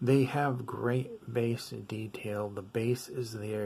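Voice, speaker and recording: Mumbling from a man at medium pitch, with fairly even intonation. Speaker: audio gear reviewer. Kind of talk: product review. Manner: casual, many fillers.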